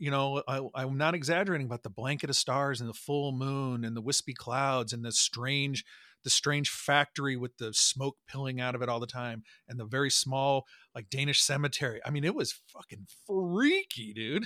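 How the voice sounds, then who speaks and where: A man speaks at a moderate pace with a bright, sharp tone. The sound is dry and close with no echo, and the very clean recording has a silent background. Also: medium pitch for a man, ordinary pitch variation. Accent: American. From Nebraska, Omaha. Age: 40s. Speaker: podcast host and trumpet player. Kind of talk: casual chat.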